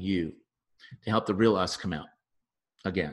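Against a quiet background, a man speaks in a very deep, low pitch with fairly even intonation. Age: 50s. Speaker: relationship psychotherapist and podcast host. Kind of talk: solo podcast monologue. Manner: casual with frequent fillers.

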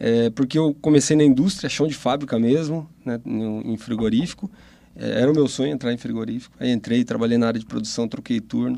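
Using a dark, mellow tone, a man talks at a fairly quick pace with medium pitch and ordinary pitch variation. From interior of São Paulo state, Brazil. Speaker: business consultant. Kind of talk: casual interview. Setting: studio.

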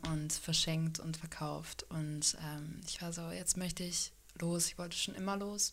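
A woman speaks at a very slow pace. Her pitch is fairly low and her intonation fairly even. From Hannover, northern Germany. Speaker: street musician, singer-songwriter. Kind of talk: interview. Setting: home studio.

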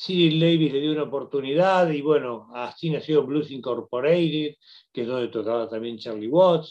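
Against a quiet background, a man with a normal speaking voice and fairly high pitch talks at a moderate pace with ordinary pitch variation. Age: 50s. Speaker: radio host. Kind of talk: solo radio commentary.

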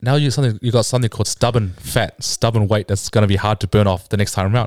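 Dry and close with no echo, a man's voice comes at a very fast pace with a medium pitch and ordinary pitch variation. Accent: New Zealand. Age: 20s. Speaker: bodybuilder. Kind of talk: casual interview.

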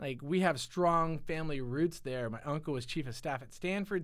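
An American-accented man speaks at a moderate pace in a fairly high pitch, with an ordinary speaking voice. The recording is very clean, with a silent background. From California, Silicon Valley. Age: 40s. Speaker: guest. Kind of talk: casual chat. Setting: studio.

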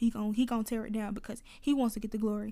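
A dark, mellow tone at a very fast pace, with an Atlanta accent. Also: woman. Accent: Atlanta, Southern US. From US South, Atlanta. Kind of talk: casual faith talk monologue. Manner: conversational, laughs often.

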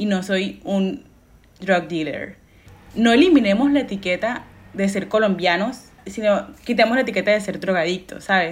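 This woman speaks at a medium pitch with ordinary pitch variation. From Colombia, Caribbean coast (Montelíbano). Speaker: podcast co-host. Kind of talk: casual chat. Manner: fast; loud.

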